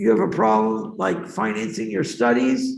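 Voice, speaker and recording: With a Boston accent and some vocal fry, a man talks at a moderate pace amid audible room echo. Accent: Boston American English. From US, Boston. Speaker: education advisor. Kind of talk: talk to students.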